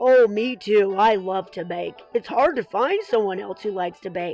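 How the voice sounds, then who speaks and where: A woman uses a put-on character voice at a medium pitch and a moderate pace, with big swings in loudness. Faint music sits in the background. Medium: read story. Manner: bashful, folksy.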